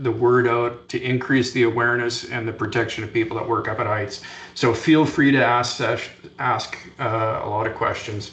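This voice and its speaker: Against noticeable background noise and audible room echo, a man speaks at a moderate pace in a Canadian accent with monotone, flat intonation. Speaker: fall protection safety trainer. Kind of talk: conference presentation. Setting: conference session.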